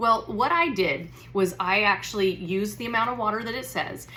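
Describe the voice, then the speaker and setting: Over noticeable background noise, a woman talks in an animated tone with ordinary pitch variation. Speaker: wellness product seller. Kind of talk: product tutorial. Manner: fast.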